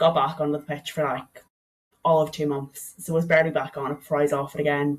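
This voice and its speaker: Talking at a fairly quick pace, a woman with an Irish accent has a very deep, low pitch and monotone, flat intonation. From Ireland, County Donegal. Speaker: strength coach, former athlete. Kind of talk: podcast interview. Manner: casual, chatty.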